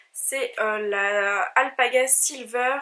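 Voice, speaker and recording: A woman uses a raised, projected voice with a bright, sharp tone. Her pitch variation is ordinary. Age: 20s. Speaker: knitting vlogger. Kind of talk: casual vlog talk. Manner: hesitant with fillers.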